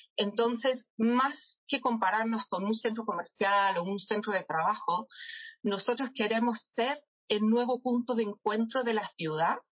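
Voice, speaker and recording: Her pitch fairly high and varying in an ordinary way, a woman speaks at a very slow pace. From England, London. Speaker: marketing director. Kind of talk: interview.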